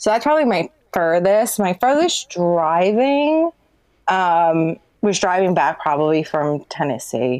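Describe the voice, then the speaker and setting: A woman speaks at a fairly low pitch and a fairly slow pace with very wide pitch swings. Her loudness stays very even against a quiet background. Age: 40s. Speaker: urban explorer and photographer. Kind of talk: casual interview chat.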